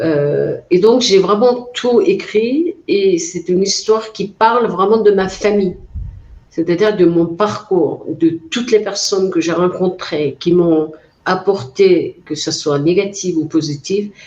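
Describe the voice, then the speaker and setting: In a Mongolian accent, a woman speaks at medium pitch with ordinary pitch variation. Her pace is very slow. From Mongolia, Altai region. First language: Mongolian (speaking French). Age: 40s. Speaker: author. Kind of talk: interview. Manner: hesitant, many fillers.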